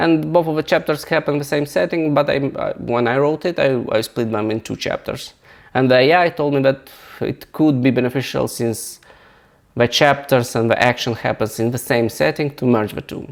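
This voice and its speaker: Speaking at a moderate pace with a non-native accent, a man uses a fairly high pitch and ordinary pitch variation. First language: not English. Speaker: software founder and novelist; engineer. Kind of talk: software tutorial walkthrough. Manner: halting, many repetitions and restarts.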